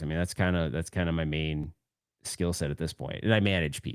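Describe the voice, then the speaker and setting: On a very clean recording with a silent background, a man speaks fast-ish, at a fairly quick pace, with a very deep, low pitch and vocal fry. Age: 40s. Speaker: podcast host. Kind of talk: live stream chat. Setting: live stream. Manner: casual, halting with repetitions.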